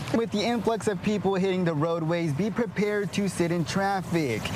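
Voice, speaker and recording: Over noticeable background noise, a man with an American accent speaks in a high voice at very even loudness. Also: ordinary pitch variation, moderate pace. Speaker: local TV news anchor and multimedia journalist. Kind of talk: on-location reporter stand-up.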